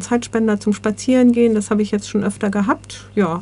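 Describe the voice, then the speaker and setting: With fairly even intonation, a woman speaks in an ordinary speaking voice at a fairly high pitch. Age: 60s. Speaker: volunteer coordinator, social worker. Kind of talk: interview.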